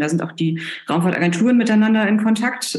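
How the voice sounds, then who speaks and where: Audible room echo surrounds a woman talking at a fairly quick pace with fairly even intonation. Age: 40s. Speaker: planetary scientist. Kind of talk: interview. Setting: remote call. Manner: hesitant with fillers.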